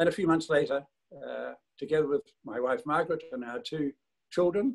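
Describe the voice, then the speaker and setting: With a New Zealand accent, a man speaks at a fairly quick pace. His voice is fairly high, and his intonation lively. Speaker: service club leader. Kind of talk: speech on video call. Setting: video call.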